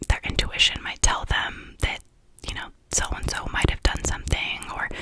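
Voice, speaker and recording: Whispered speech from a woman amid noticeable background noise. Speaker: ASMR YouTuber. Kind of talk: casual talk to camera about true crime episodes.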